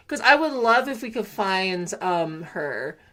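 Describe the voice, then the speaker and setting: On a very clean recording with a silent background, a woman speaks in an animated tone with lively intonation at a fairly slow pace. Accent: Southern Californian. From California, Antelope Valley. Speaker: gaming streamer. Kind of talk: casual live-stream chat.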